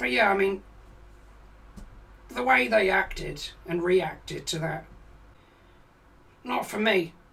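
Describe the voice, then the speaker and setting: Putting on a raspy, high character voice, a man speaks at a fairly slow pace with long, frequent pauses. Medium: game stream. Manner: rambling, hesitant, profane.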